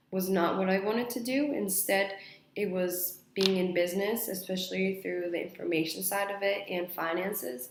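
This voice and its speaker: A woman at medium pitch speaks at a moderate pace with ordinary pitch variation, with audible room echo and noticeable background noise. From mixed: Spain, Mexico, Australia, Saudi Arabia, then US. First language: Spanish. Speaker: university student. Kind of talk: mock job interview answers.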